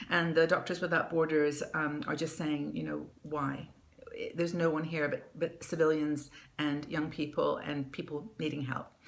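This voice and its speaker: A woman with a very deep, low voice speaks at a moderate pace over noticeable background noise. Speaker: news show host. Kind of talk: casual talk to camera, news commentary. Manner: friendly, conversational.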